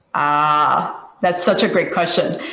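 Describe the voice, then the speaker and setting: Noticeable background noise sits under the recording. A woman talks at a moderate pace. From Taiwan. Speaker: software engineer, alumna speaker. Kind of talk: panel discussion. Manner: halting.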